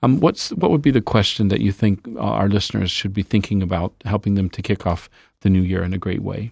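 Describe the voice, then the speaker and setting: Fairly low in pitch and showing vocal fry, a man talks at a fairly quick pace with ordinary pitch variation in a dry, close sound with no echo. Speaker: podcast host. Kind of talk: interview, scripted intro then casual conversation.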